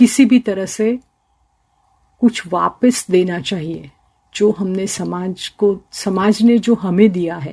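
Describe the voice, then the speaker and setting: Somewhat breathy and dark, mellow in tone, a woman speaks at a medium pitch with ordinary pitch variation. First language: Gujarati (speaking Hindi). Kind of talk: radio interview.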